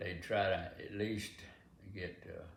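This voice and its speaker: This is a man's voice. He speaks with a Southern US accent. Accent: Southern American. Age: 80s+. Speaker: farmer. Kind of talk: interview answer.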